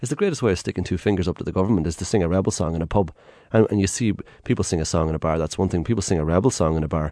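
Talking at a very fast pace, a man with an Irish accent has a very deep, low pitch, a dark, mellow tone and ordinary pitch variation. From Ireland. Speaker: tour guide. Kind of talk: radio interview.

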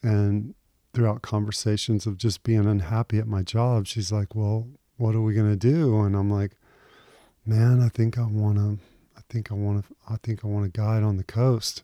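A man's fairly low, dark, mellow voice in a Texan accent, monotone and flat at a moderate pace, dry and close with no echo in a very clean recording with a silent background. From Houston, Texas. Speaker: fishing guide. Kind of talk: interview.

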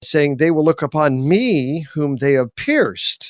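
The recording of this man is very clean with a silent background and a dry, close sound with no echo. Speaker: theology professor. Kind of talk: radio interview on Bible teaching. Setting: live radio broadcast. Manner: animated.

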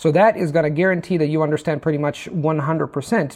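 At a moderate pace, a man with a fairly high pitch sounds somewhat breathy, his pitch varying in an ordinary way. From Italy. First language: Italian. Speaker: language teacher. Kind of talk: interview, explanatory chat.

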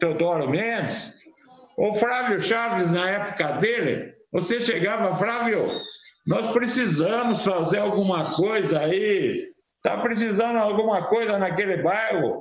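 The words come at a very slow pace, with audible room echo around them. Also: man. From Sorocaba, São Paulo state, Brazil. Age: 70s. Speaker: former city councillor. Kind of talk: interview. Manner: halting, repeats words.

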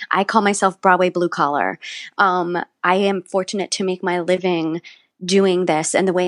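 A woman speaks at a moderate pace with a fairly low pitch, in an unremarkable speaking voice. The sound is dry and close, with no echo. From West Virginia. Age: 40s. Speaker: musical theater actor. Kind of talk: interview conversation.

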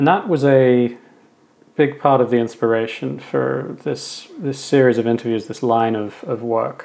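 With an Australian accent, a man talks fairly slowly at a medium pitch, his pitch varying in an ordinary way. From western Sydney, Australia. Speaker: podcast host. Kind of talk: interview about own life, reflective conversation.

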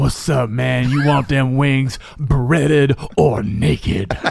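At a fairly slow pace, a man performs a put-on character voice at a medium pitch. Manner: casual, drive-through worker style.

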